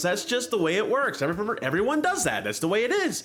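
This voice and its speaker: Lively intonation and an animated tone come through amid audible room echo and noticeable background noise. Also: man. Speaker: cooking video host. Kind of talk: casual tutorial. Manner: loud.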